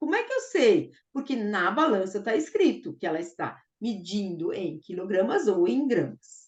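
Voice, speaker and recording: Somewhat breathy and enthusiastic, a woman talks at a fairly slow pace with hardly any pauses and very wide pitch swings. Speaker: math teacher trainer. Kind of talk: online teacher-training lecture.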